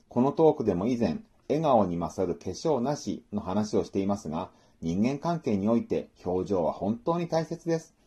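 The voice is somewhat breathy with a dark, mellow tone and very wide pitch swings, set against a quiet background. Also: man, medium pitch for a man, moderate pace. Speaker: book review podcaster. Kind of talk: solo book talk monologue. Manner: formal.

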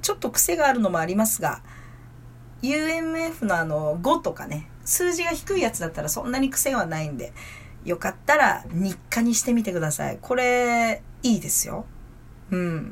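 Her pitch fairly high and swinging very widely, a woman speaks at a moderate pace in a somewhat breathy voice. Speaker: stage actor and podcast host. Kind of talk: casual solo talk.

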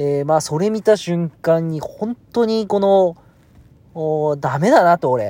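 A man speaks at a very slow pace in a high voice. His pitch varies in an ordinary way while his loudness swings widely. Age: 40s. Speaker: podcaster. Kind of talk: casual monologue. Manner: hesitant with many fillers.

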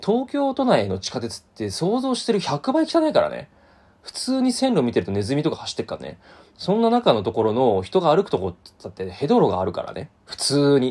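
Here a man talks at a fairly quick pace, his loudness swinging widely. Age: 30s. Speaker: podcast host. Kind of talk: solo monologue. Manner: casual, many fillers.

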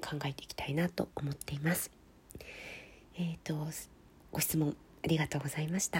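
With monotone, flat intonation and long, frequent pauses, a woman speaks in a very deep, low pitch. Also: fairly quick pace. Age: 40s. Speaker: writer and podcast host. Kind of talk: solo podcast answering listener mail.

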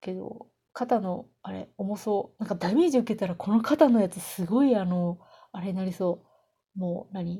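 A woman's dark, mellow, somewhat breathy voice at medium pitch, ordinary pitch variation and a moderate pace, in a very clean recording with a silent background. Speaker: solo podcaster, game fan. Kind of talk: casual monologue. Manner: slurred articulation.

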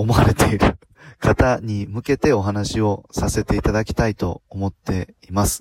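At a fairly slow pace, a man with an ordinary speaking voice talks at a fairly low pitch with fairly even intonation, the sound dry and close with no echo. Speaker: podcaster, former motorcycle driving instructor. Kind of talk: solo talk. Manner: many filler words.

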